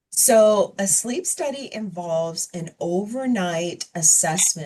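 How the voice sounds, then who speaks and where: A woman's somewhat breathy, dark and mellow voice at a medium pitch. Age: 50s. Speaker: geriatrician. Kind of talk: Q&A after a health talk. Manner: calm explanatory.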